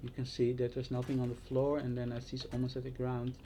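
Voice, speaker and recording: Somewhat breathy and dark, mellow in tone, a man speaks at a medium pitch with a Dutch accent. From Netherlands. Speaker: vlogger. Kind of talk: casual monologue. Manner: halting.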